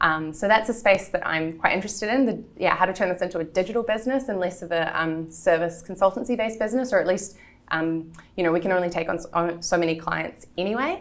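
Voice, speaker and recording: This woman talks at a very fast pace. Her voice sits at medium pitch with ordinary pitch variation. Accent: New Zealand. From New Zealand. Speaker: entrepreneur. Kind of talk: interview.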